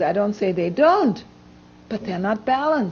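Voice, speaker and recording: A woman is speaking. Her pitch swings very widely. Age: 60s. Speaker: health lecturer. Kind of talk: lecture with Q&A. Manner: animated.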